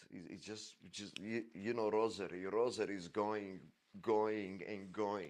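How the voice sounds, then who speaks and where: At a fairly slow pace, a man with a Croatian accent speaks at a fairly low pitch with fairly even intonation. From Croatia, village near Dubrovnik. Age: 50s. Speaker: podcast storyteller. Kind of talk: personal life story monologue. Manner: halting, many repetitions.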